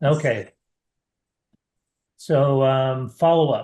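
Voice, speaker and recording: Against a quiet background, a man with a fairly high pitch sounds somewhat breathy, his intonation fairly even. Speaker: marketing webinar host. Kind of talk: webinar presentation.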